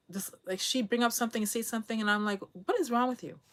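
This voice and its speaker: The woman's pitch sits fairly high. Her recording is very clean against a silent background. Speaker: vlogger. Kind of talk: casual monologue, personal story. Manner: calm, does not raise voice; halting, many restarts.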